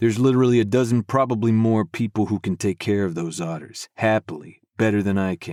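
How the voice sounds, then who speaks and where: A man does a gruff, put-on character voice with a fairly low pitch, talking at a fairly quick pace with hardly any pauses. The sound is dry and close with no echo, on a very clean recording with a silent background. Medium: read story. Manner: dry, low and gruff.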